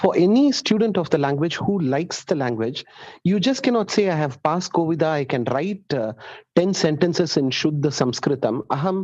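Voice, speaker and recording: Speech comes at a fairly quick pace. The speaker has a Tamil accent. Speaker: student. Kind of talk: student question in class.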